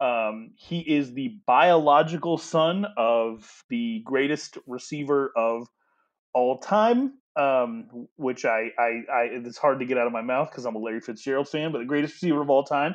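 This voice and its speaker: At a fairly slow pace, a man talks in a normal speaking voice at medium pitch with ordinary pitch variation. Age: 30s. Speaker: sports podcast co-host. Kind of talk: casual sports chat.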